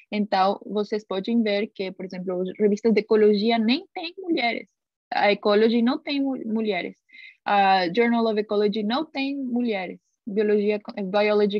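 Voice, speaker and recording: In a Spanish accent, a woman speaks at a moderate pace. Her pitch is fairly high, with ordinary variation. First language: Spanish (speaking Portuguese). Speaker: scientist and guest lecturer. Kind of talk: lecture. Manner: halting, many filler sounds.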